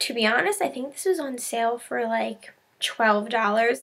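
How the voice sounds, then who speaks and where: A woman's voice with ordinary pitch variation. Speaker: haul vlogger. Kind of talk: casual vlog chat. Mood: cheerful, enthusiastic. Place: home room. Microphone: webcam.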